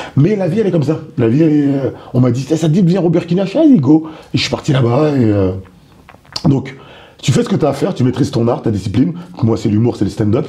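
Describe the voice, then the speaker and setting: A man with a fairly high pitch and lively intonation speaks at a very fast pace with long, frequent pauses and very even loudness, against noticeable background noise. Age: 30s. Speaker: stand-up comedian. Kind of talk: interview.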